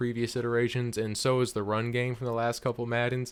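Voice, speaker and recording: In a very clean recording with a silent background, a man speaks at a medium pitch with monotone, flat intonation. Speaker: gaming YouTuber, video game reviewer. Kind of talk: product review.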